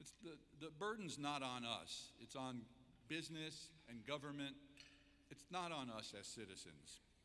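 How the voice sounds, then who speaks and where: A man's fairly high-pitched voice, bright and sharp, with lively intonation, a moderate pace, long and frequent pauses, and audible room echo. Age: 70s. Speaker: keynote speaker, entrepreneur. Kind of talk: keynote speech.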